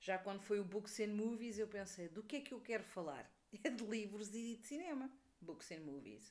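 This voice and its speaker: The speaker has a European Portuguese accent. The intonation is lively, and the loudness swings widely. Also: woman, fairly high pitch for a woman, moderate pace. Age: 40s. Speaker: podcaster and book youtuber. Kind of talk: casual monologue. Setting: at home.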